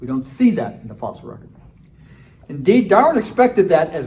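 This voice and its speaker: A man's voice carries audible room echo. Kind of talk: conference lecture. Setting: conference breakout session with audience. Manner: fast.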